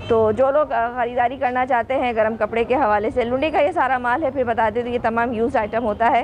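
A woman speaks at a moderate pace in a high voice with fairly even intonation, hardly any pauses and very even loudness, over light background noise. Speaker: vlogger. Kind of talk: casual vlog chat. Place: factory. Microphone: phone near.

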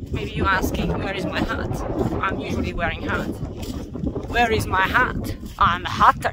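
A woman's voice comes through a dry sound with no echo. Noticeable background noise is present. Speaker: hiking vlogger. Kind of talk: casual vlog chat. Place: open country. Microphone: phone near.

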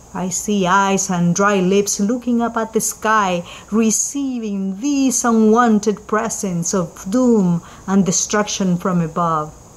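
A woman speaks at a very slow pace in a medium pitch with ordinary pitch variation, and noticeable background noise sits behind her. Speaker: poet. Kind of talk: spoken-word poetry reading, first-person scene narration. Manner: measured, vivid storytelling with rising anguished intensity; rhythmic repetition, grave and mournful close.

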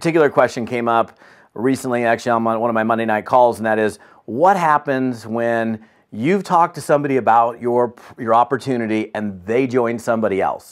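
Against a quiet background, a man speaks fairly quickly with ordinary pitch variation. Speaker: business trainer. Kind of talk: training talk to camera. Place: home room.

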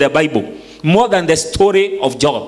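This man's voice sits high in pitch and moves at a moderate pace. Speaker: preacher. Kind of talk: sermon. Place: church. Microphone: handheld.

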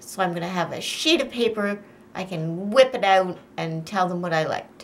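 At a moderate pace, a woman is talking. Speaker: vlogger. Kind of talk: casual vlog chat. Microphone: phone near.

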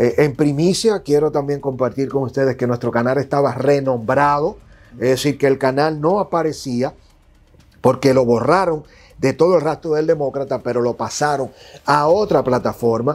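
A man talks at a moderate pace with a fairly high pitch and ordinary pitch variation. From Dominican Republic. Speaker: political commentator and digital journalist; political commentator, digital journalist. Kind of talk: interview. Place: studio. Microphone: lapel.

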